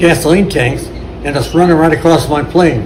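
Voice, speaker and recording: A man speaks with a fairly high voice. Audible room echo and noticeable background noise surround him. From Ohio, US Midwest. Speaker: war veteran. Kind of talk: interview storytelling. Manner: halting.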